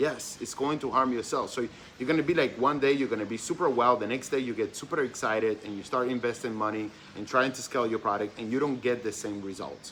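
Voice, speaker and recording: A man's medium-pitched voice with a non-native accent, ordinary pitch variation, and a very fast pace. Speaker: dropshipping mentor. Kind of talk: tutorial. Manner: hesitant, many fillers.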